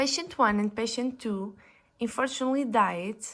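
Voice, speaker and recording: A woman speaks with a Portuguese accent at a fairly high pitch. Her pitch variation is ordinary. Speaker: physiotherapist. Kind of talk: conference presentation. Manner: halting, with self-corrections; formal.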